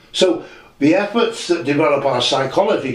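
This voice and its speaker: A man's voice comes with audible room echo. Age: 60s. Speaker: channel owner discussing spiritual teachings. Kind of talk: audio diary monologue. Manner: reflective, halting with self-corrections.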